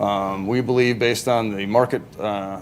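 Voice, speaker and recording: A man's intonation stays fairly even while noticeable background noise runs behind him. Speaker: business presenter. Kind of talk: public presentation. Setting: city council meeting. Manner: fast; halting, many fillers.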